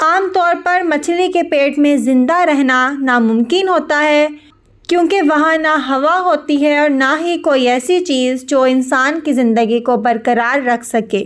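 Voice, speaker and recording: Her voice is high in pitch with ordinary pitch variation. This woman keeps her loudness very even. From Pakistan. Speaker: voice-over artist. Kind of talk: religious story narration.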